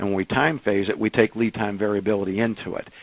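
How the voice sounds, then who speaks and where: In a dry, close sound with no echo, a man with a fairly low pitch talks at a fairly quick pace with fairly even intonation. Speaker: software company president. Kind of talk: webinar Q&A answers. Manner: fast; hesitant with many fillers and repeats.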